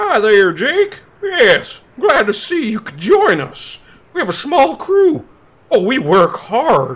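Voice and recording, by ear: A put-on character voice with a high pitch moves along at a fairly slow pace.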